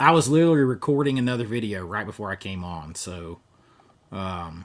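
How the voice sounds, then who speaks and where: Here a man talks with a Southern US accent at a fairly low pitch. His pace is fairly quick, and his pitch swings very widely. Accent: Southern US accent, kept on purpose. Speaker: YouTuber, movie collector. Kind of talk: live stream chat with viewers. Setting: home live stream. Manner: casual, conversational.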